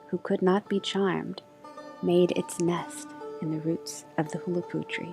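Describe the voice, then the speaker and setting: A soft-spoken woman at a very slow pace, with music in the background. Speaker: storyteller and voice actor. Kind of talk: soft story reading of a myth with music. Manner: soft-spoken, slow.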